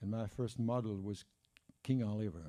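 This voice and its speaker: A man's fairly low, dark, mellow voice with a Parisian accent, ordinary pitch variation and a moderate pace. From France, Paris. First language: French. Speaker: jazz historian and author. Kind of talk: conference talk; reading aloud. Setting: conference room with audience. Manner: halting, many fillers.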